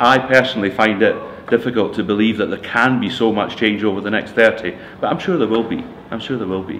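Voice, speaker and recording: With a Scottish accent, the speaker moves at a fairly quick pace. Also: man. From Scotland. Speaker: retiring computing staff member. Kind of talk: interview. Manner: halting, many fillers.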